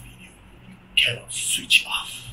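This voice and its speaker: A man talks with faint music in the background. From Malaysia. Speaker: YouTube reaction host. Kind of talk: casual reaction commentary. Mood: amused, intrigued.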